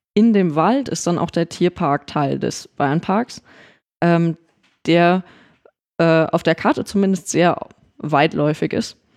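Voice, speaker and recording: A woman's very slow, fairly low voice with long, frequent pauses and ordinary pitch variation, on a very clean recording with a silent background. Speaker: theme park podcast co-host. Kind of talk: casual chat. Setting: studio.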